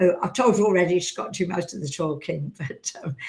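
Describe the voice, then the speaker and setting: In a fairly low, somewhat breathy voice, a woman speaks with ordinary pitch variation. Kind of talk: casual chat. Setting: studio. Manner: halting, many fillers.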